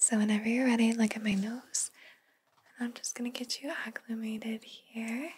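Soft-spoken and monotone with flat intonation, a woman talks at a moderate pace over light background noise. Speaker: video host. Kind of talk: soft-spoken role-play, like an eye exam. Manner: soft, hushed ASMR speaking voice. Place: home room.

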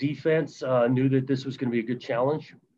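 The man talks at a fairly quick pace. His pitch varies in an ordinary way, over light background noise. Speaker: football coach. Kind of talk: press conference answer. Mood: measured, post-loss reflective. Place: meeting room. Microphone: webcam.

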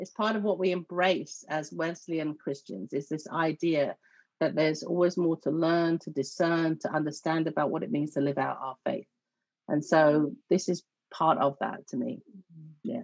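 A woman's very deep, low voice at a moderate pace, with ordinary pitch variation, a dry sound with no echo, and a quiet background. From southeast England. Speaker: church network organizer; guest. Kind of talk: interview conversation. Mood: calm, explanatory. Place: home room. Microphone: video call.

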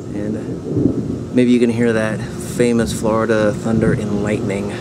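A man over loud background noise. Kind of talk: tutorial. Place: garden. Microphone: phone near.

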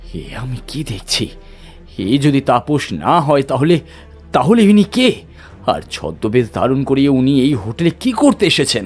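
Over music in the background, a man does a shaky put-on character voice at medium pitch and a moderate pace. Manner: frightened, astonished.

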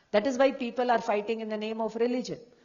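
A woman's fairly high voice comes with audible room echo and noticeable background noise. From Rajasthan, India. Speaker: professor of Jain studies. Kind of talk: conference lecture.

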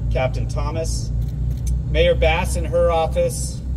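There is noticeable background noise. Through it, a man's voice comes across. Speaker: event host introducing officials. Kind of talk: press conference speech. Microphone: podium.

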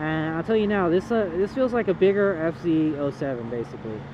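Delivered at a moderate pace, the speech has a dry sound with no echo and noticeable background noise. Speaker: motorcycle rider reviewer. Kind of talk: casual riding commentary. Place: motorbike.

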